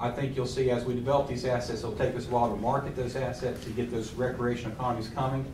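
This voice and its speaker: A man with an Appalachian accent talks very fast at a medium pitch. Audible room echo and noticeable background noise are present. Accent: Appalachian Southern US. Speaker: trail organization representative. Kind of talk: public meeting presentation. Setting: county board meeting.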